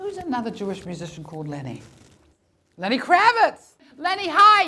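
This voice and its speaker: A woman projects a raised, high-pitched voice at a moderate pace. Her pitch swings very widely and her loudness shifts a lot. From New Zealand. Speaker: comedian and storyteller. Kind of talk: live comedy storytelling performance. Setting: live stage.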